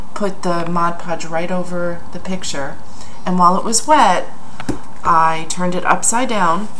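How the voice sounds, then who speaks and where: A woman speaks in a fairly low pitch with fairly even intonation. Light background noise sits behind her. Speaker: craft demonstrator. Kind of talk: tutorial. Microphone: phone near.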